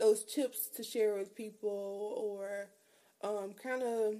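A woman speaks at a medium pitch with fairly even intonation. Her tone is slightly mellow.

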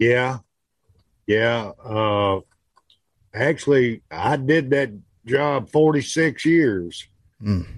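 The speaker goes at a very slow pace with long, frequent pauses, very even loudness, and ordinary pitch variation. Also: man, medium pitch for a man. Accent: Southern US. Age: 60s. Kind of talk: casual chat. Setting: video call.

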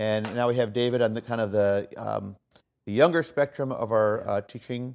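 A man's plain, everyday voice at medium pitch, moderate pace and ordinary pitch variation. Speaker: podcast host and orchestra teacher. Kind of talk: casual interview. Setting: hotel room at conference in Chicago.

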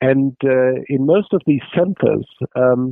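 A man's medium-pitched voice with a German accent. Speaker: terrorism researcher. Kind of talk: interview. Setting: remote call. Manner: halting.

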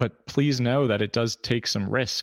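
A man with an American accent has a normal speaking voice at medium pitch, with ordinary pitch variation and a fairly quick pace. The recording is very clean, with a silent background and a dry, close sound with no echo. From New York, Hudson Valley. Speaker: podcast host and therapy practice owner. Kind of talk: casual monologue. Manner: conversational.

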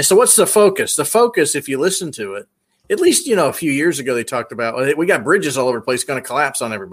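A man with a Tennessee accent speaks very fast in a fairly high pitch with very wide pitch swings, recorded very cleanly against a silent background. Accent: Tennessee Southern. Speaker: military veteran. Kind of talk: casual chat.

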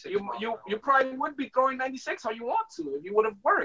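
A man with an American accent speaks in a raised, projected voice at a fairly quick pace, his bright, sharp tone reaching an extremely high pitch with very wide swings. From New York City (Washington Heights). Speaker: apparel brand co-founder. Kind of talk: casual interview.

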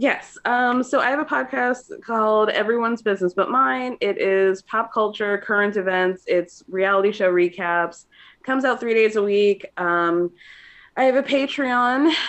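A normal speaking voice with an American accent, very even loudness, lively intonation and a moderate pace. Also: woman, fairly high pitch for a woman. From Georgia, US. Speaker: podcast guest, pop culture podcaster. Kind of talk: casual chat.

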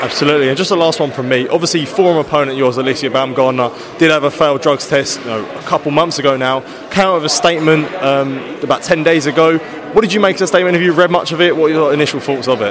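A man with a fairly high pitch and ordinary pitch variation talks at a very fast pace with hardly any pauses. The recording has audible room echo and noticeable background noise. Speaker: boxing interviewer. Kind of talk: interview. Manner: halting.

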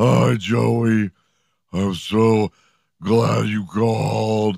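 Raspy and fairly low in pitch, a man uses a put-on character voice. He goes at a very slow pace, with a dry, close sound and no echo. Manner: mocking, exaggerated.

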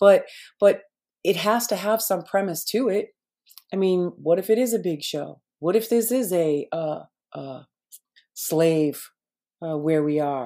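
A woman speaks at a medium pitch with a dark, mellow tone and lively intonation. Her pace is fairly slow, with long, frequent pauses. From Boston, US. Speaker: conspiracy commentator. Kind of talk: casual interview. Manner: halting.

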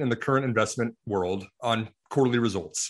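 Against a quiet background, a man talks at a fairly quick pace. He has an ordinary speaking voice with lively intonation. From US Midwest, rural Iowa. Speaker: investment firm CEO. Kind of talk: interview.

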